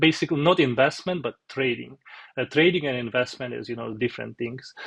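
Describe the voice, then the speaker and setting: A man speaks in a strong Russian accent, his voice catching in vocal fry. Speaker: software developer, finance vlogger. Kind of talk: tutorial. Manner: halting, many fillers.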